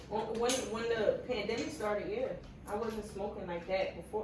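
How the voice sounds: Heard with audible room echo, a woman talks at a moderate pace with a medium pitch and ordinary pitch variation.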